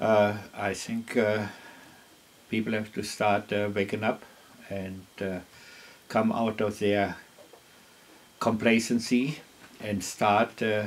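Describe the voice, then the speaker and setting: Speaking with a German accent, a man uses a fairly low pitch and monotone, flat intonation. He talks at a very slow pace with long, frequent pauses. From Germany. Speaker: farmer. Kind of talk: interview. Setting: at his home. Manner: halting with frequent fillers.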